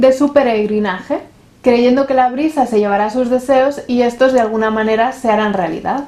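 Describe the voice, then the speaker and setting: At a moderate pace, a woman talks in a high voice with fairly even intonation. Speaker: YouTuber. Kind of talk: scripted narration.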